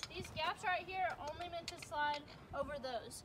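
A woman speaks fairly quickly, with noticeable background noise behind her. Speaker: zip line guide. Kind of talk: safety briefing instructions. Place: forest. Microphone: camera far.

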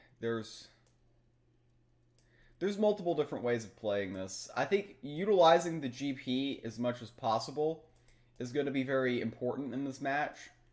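A man speaks at a moderate pace with a medium pitch and lively intonation.

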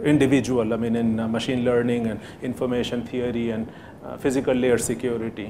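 Flat, monotone delivery over noticeable background noise. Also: man, fairly quick pace. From India, Allahabad; India. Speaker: professor; professor giving a guest lecture. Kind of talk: lecture. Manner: halting, many fillers. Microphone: podium.

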